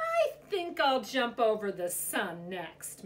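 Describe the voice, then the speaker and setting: A woman's put-on character voice, high in pitch, with very wide pitch swings at a very slow pace. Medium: read story. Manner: calm, determined.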